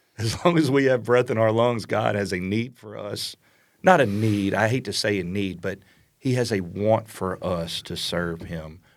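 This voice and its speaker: A man with a fairly low voice and ordinary pitch variation is heard on a very clean recording with a silent background. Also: moderate pace. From South Louisiana. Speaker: Air Force veteran and pastor. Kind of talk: interview, testimony. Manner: animated.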